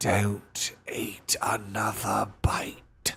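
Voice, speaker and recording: A man puts on a growling character voice. His pitch is fairly low. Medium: read story.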